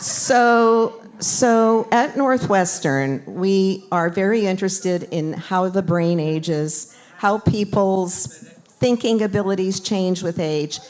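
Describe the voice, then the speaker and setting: A woman at a very slow pace with hardly any pauses, medium pitch and ordinary pitch variation, over noticeable background noise. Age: 70s. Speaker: doctor and brain aging researcher. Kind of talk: interactive talk with live audience. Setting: community event with live audience.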